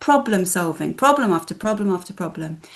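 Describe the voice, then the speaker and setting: A woman's somewhat breathy, medium-pitched voice at a moderate pace. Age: 50s. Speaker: film festival director. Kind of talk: casual chat.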